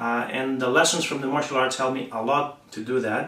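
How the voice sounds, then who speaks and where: Over noticeable background noise, a man speaks with a Spanish accent. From Spain. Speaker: martial arts instructor. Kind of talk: promotional talk to camera. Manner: halting, many fillers.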